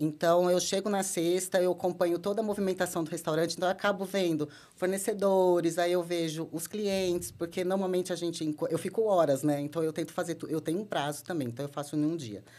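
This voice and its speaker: A woman with an ordinary speaking voice talks at a fairly quick pace and fairly low pitch, with fairly even intonation and hardly any pauses. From São Paulo state, Brazil (Americana). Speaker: marketing and brand director. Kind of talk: podcast interview.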